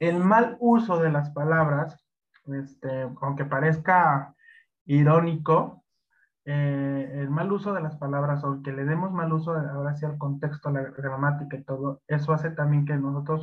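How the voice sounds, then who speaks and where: A man with a fairly high, somewhat breathy voice speaks at a fairly slow pace. His intonation is fairly even. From Mexico. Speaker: Excel instructor. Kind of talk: interview. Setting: live stream. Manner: halting, many fillers.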